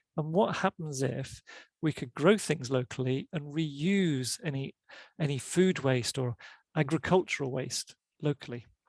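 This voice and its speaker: A man's voice at a fairly slow pace, with ordinary pitch variation, in a dry, close sound with no echo and a very clean recording over a silent background. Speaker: professor giving a talk. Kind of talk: lecture. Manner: halting, many repeated words and fillers.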